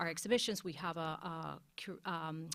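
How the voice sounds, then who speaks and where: On a very clean recording with a silent background, a woman with a Spanish accent speaks in a fairly low voice with fairly even intonation. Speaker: museum curator. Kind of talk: panel discussion. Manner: halting, many fillers and restarts.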